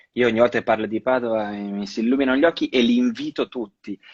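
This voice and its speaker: A man with a slight Venetian accent. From Veneto, Padua. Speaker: actor. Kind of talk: casual interview. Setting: Instagram live video. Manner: halting, many repetitions.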